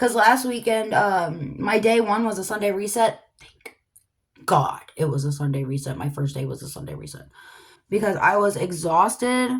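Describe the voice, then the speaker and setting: Animated and somewhat breathy, a woman talks at a moderate pace with very wide pitch swings and big swings in loudness. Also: medium pitch for a woman. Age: 30s. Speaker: lifestyle vlogger. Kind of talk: casual vlog monologue. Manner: chatty, animated.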